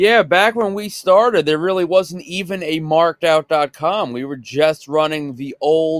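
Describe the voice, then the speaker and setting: Speaking in a Long Island accent, a man with a fairly high voice uses lively intonation at a fairly slow pace, recorded dry and close with no echo. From Long Island, New York. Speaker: podcast co-host, autograph collector. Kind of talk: casual chat.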